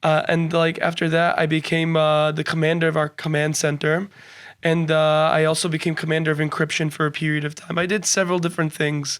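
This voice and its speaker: In a New Jersey accent, a man speaks at a fairly quick pace with a fairly high pitch and monotone, flat intonation. His loudness stays very even, on a very clean recording with a silent background. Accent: American English (New Jersey). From New Jersey, US. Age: 20s. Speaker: university student. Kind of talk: podcast interview.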